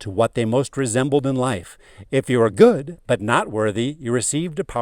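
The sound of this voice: An unforced reading voice reads with ordinary pitch variation.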